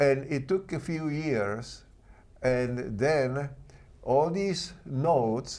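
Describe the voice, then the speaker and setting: Speaking very slowly with a Czech accent, a man uses a fairly high pitch, a dark, mellow tone and ordinary pitch variation. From Czechoslovakia. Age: 80s+. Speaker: artist, sculptor and author. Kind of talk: interview. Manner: halting.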